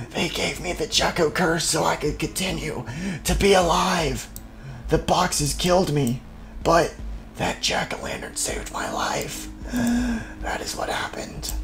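Put on as a character, a raspy voice speaks at a fairly slow pace over clear background music. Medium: machinima. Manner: slow, solemn, cryptic.

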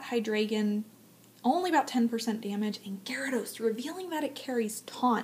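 Speaking at a moderate pace, a woman uses a normal speaking voice that is fairly high and lively in intonation. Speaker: aspiring live esports commentator. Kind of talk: esports live commentary audition.

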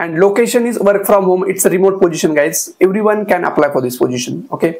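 With an Indian accent, a man speaks at a high pitch with ordinary pitch variation against a quiet background. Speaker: YouTuber sharing job openings. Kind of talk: tutorial-style informational video. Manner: frequent hesitations with uh. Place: home room. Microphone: lapel.

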